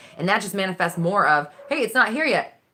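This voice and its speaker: A woman's bright, sharp voice with vocal fry, very wide pitch swings, and a fairly quick pace. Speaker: manifestation coach. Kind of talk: live stream Q&A. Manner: direct; animated.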